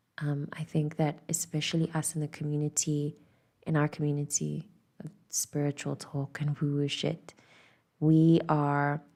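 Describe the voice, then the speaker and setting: Whispering at a fairly slow pace, a woman speaks. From South Africa. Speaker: tarot reader. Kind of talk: intuitive channelling.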